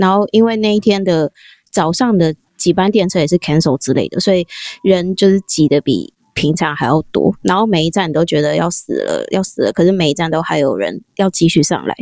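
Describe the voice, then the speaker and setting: With a fairly low pitch and vocal fry, this woman talks at a fairly quick pace and ordinary pitch variation. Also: dry, close sound with no echo. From Taiwan. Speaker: office worker abroad. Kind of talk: casual interview chat.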